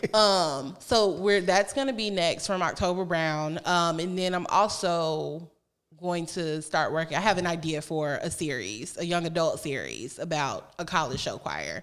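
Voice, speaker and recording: Speaking in a normal speaking voice with an American accent, a woman talks at a fairly low pitch and a fairly slow pace, with ordinary pitch variation and hardly any pauses. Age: 30s. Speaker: author and podcaster. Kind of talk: casual interview.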